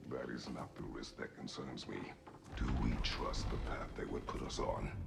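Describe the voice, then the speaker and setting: Amid loud background noise, a man puts on a character voice at a moderate pace. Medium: video game. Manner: terse, grave.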